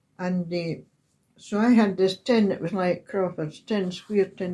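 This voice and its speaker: A woman speaks with a Scottish accent at a medium pitch. Her tone is dark and mellow, with fairly even intonation. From Scotland, Highland Perthshire. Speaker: oral history interviewee. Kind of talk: reminiscence interview. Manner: halting.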